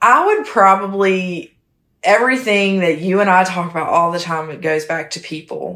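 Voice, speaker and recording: With a Southern US accent, a woman talks at a moderate pace in a medium pitch with ordinary pitch variation, big swings in loudness, and a bright, sharp tone on a very clean recording with a silent background. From South Carolina, small town. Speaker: real estate asset manager. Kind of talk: casual interview chat.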